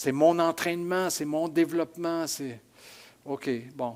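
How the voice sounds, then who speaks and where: A very clean recording with a silent background: a man, fairly slow in pace, with ordinary pitch variation. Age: 60s. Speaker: pastor. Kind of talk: sermon. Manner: hesitant, many repetitions.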